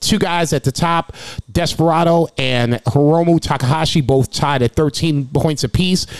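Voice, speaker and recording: Against noticeable background noise, a man speaks at a moderate pace in a fairly high voice with ordinary pitch variation and very even loudness, in a dry, close sound with no echo. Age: 40s. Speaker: wrestling podcast host. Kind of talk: reading out standings; casual chat.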